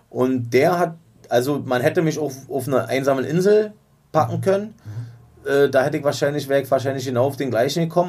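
This man's pitch is medium. His pitch varies in an ordinary way. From East Berlin. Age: 40s. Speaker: rapper. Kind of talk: casual chat. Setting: studio.

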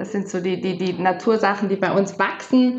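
Audible room echo surrounds a woman as she speaks. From South Tyrol, Meran area. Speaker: holistic body therapist. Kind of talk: casual interview.

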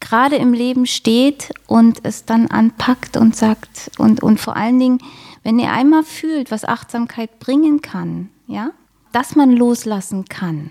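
A woman's high voice at a very slow pace, in a dry, close sound with no echo. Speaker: mindfulness coach and yoga teacher. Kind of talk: interview. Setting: studio. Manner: pleasant.

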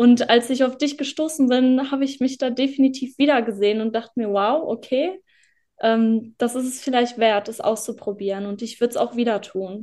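At a high pitch, a woman speaks in a dark, mellow tone at a moderate pace. Her pitch variation is ordinary, and the background is quiet. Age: 20s. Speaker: former client sharing success story. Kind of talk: interview testimony.

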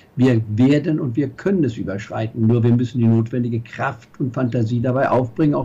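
Somewhat breathy and dark, mellow in tone, a man talks at a fairly quick pace with hardly any pauses. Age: 70s. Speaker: investment strategist. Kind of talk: interview. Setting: video call.

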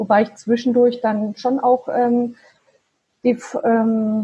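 A woman with a fairly high pitch speaks at a very slow pace, sounding somewhat breathy. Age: 40s. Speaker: virtual assistant and side-business founder. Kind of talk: interview. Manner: halting, many fillers.

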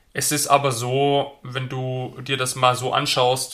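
A medium-pitched male voice with a bright, sharp tone and monotone, flat intonation. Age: 20s. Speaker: police patrol officer and property investor. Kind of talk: interview. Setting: studio.

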